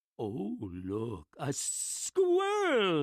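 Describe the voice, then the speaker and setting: A put-on character voice from a woman, very deep and low in pitch, with hissing. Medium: read story. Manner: slow, coaxing, hissing.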